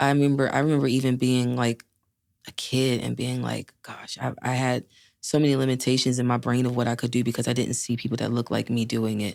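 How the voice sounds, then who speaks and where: Very fast and monotone, a woman's flat intonation rarely moves. Her pitch is very deep and low. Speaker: country singer. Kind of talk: interview conversation.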